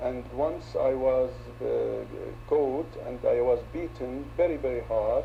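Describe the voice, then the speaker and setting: A man speaks at a very slow pace through noticeable background noise and audible room echo. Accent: Arabic. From Syria. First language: Arabic. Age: 60s. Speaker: opposition politician. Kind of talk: interview. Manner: halting.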